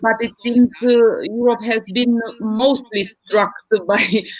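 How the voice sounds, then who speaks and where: A woman with a non-native accent at a fairly slow pace, over noticeable background noise. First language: not English. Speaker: business team representative. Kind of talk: live online panel discussion. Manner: hesitant, many fillers.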